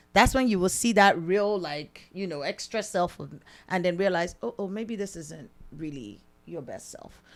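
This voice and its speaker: A woman speaks at a moderate pace in a medium-pitched voice with an animated tone and lively intonation. Her loudness swings widely on a very clean recording with a silent background. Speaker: married podcast co-host. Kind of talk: casual chat.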